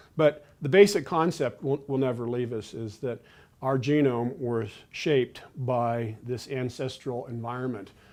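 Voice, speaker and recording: A man speaks at a moderate pace with a medium pitch and ordinary pitch variation. His tone is dark and mellow. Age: 60s. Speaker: nutrition professor. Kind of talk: interview. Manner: hesitant, many fillers.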